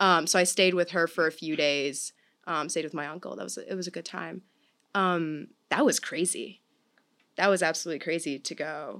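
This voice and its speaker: In an American accent, a woman with a fairly low pitch and a bright, sharp tone speaks at a moderate pace with fairly even intonation and big swings in loudness, on a very clean recording with a silent background. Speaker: college student, theater major. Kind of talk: casual chat, interview.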